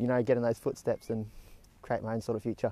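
A man speaks very fast with an Australian accent. His medium-pitched voice has a dark, mellow tone and a dry sound with no echo. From Tamworth, New South Wales, Australia; New South Wales, Australia. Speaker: horse stud trainee. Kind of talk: interview; interview answer. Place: farm machine.

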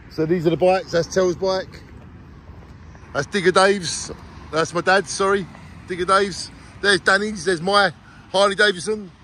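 A man speaks in a raised, projected voice at a moderate pace, with fairly even intonation and long, frequent pauses. The sound is dry with no echo, over light background noise. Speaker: motorbike road trip vlogger. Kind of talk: casual vlog chat. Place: street. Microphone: phone near.

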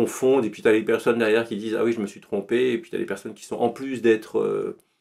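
Over a quiet background, a man talks at a very fast pace with big swings in loudness. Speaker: podcast guest. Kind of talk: interview answer. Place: home room. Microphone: studio mic.

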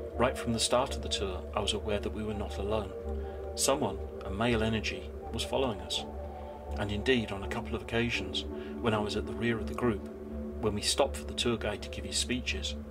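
A man at a very fast pace with music in the background. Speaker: video narrator. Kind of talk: storytelling narration.

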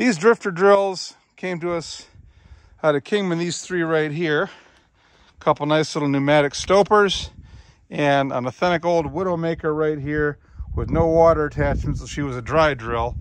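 The background stays quiet as a man talks at a moderate pace. His pitch varies in an ordinary way, and the sound is dry with no echo. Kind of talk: casual vlog chat. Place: open country. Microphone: phone near.

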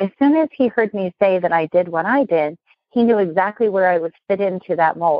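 A woman speaks at a fairly quick pace and a medium pitch. Hers is a plain, everyday voice. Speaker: business consultant and speaker. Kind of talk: interview.

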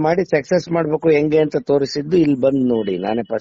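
A man speaks at a fairly high pitch with ordinary pitch variation in a plain, everyday voice. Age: 60s. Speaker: medicinal crop trader and former project consultant. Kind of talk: casual interview.

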